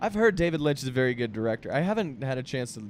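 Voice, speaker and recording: This is a man speaking with an American accent. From US, Boston. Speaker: podcast host. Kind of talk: casual chat.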